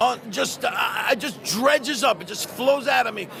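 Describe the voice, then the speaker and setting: A man's raised, projected voice at an extremely high pitch, moderate pace and ordinary pitch variation, with noticeable background noise. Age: 60s. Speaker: voice actor. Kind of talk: convention interview.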